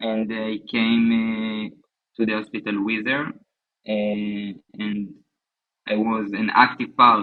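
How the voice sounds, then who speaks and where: Music plays in the background as a man with an Israeli accent speaks very slowly, his fairly low voice monotone and flat. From southern Israel. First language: Hebrew. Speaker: bereaved husband, soldier. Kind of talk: interview testimony. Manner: halting.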